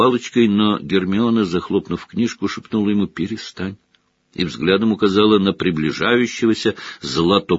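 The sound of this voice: The reader uses an unforced reading voice. Behind it, the background stays quiet.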